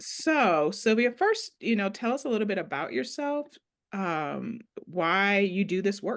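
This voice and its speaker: A woman with an American accent has an unremarkable speaking voice at a medium pitch. Her intonation is lively, though her pace is fairly slow. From Ohio. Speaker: podcast host. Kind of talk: interview.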